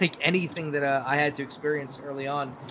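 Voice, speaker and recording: With noticeable background noise behind him, a man in a New York accent talks at a very fast pace. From New York City. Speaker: podcast host. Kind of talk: casual interview chat.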